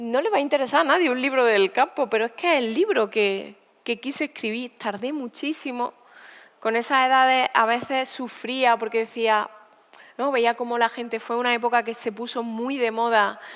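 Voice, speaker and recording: With an Andalusian accent, a woman speaks at a high pitch and with fairly even intonation. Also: moderate pace. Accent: Andalusian rural. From Spain, Sierra Norte of Seville (Andalusia). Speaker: poet and writer. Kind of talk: onstage conversation interview. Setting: stage at a literature festival.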